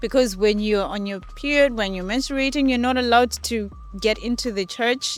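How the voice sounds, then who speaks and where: Over music in the background, a woman with a fairly high voice talks at a moderate pace with ordinary pitch variation. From Zimbabwe. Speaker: interviewee. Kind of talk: interview.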